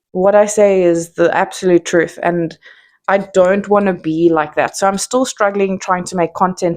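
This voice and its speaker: The speaker has a South African accent and talks at a moderate pace. The intonation stays fairly even. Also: woman. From South Africa, Johannesburg. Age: 30s. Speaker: content creator. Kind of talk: casual monologue.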